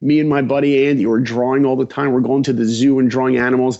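Speaking at a medium pitch, a man talks in an American accent. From Long Island, New York. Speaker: animation director. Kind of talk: interview storytelling. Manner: animated.

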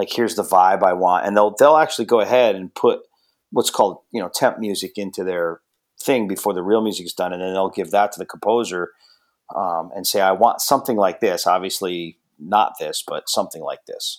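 A man uses a normal speaking voice, fairly low in pitch with ordinary pitch variation, at a fairly quick pace. The recording is very clean, background silent. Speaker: drummer and music producer. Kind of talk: casual interview chat.

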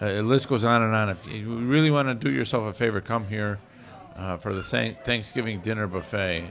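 This is an ordinary speaking voice with ordinary pitch variation at a moderate pace. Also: man. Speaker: radio host. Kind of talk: casual banter with jokes. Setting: live bar venue. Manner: jokey, playful.

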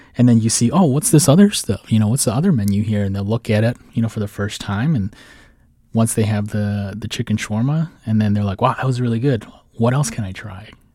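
With an American accent, a man talks at a fairly quick pace in a dark, mellow tone with ordinary pitch variation, on a very clean recording with a silent background. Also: medium pitch for a man. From Minnesota, Saint Paul. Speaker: food business founder. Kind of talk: radio interview. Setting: studio.

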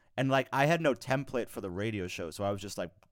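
A man with an American accent and an ordinary speaking voice talks at a fairly quick pace and medium pitch with lively intonation, on a very clean recording with a silent background. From New York. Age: 20s. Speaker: podcast co-host. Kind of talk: casual chat.

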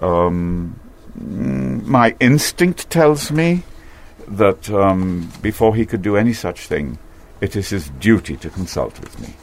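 A man speaks at a very slow pace with fairly low pitch and very wide pitch swings. His loudness swings widely, and there is noticeable background noise. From Trinidad. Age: 70s. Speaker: artist. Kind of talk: interview.

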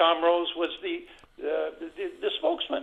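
A man with a Newfoundland accent. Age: 80s+. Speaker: caller. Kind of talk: call-in talk. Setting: phone call. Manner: halting.

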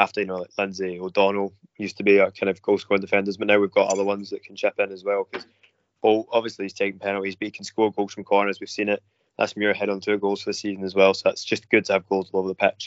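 A man with a Glasgow accent at a very fast pace, fairly low in pitch, with monotone, flat intonation and big swings in loudness. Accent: Scottish (Glasgow). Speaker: football fan panellist. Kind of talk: casual chat.

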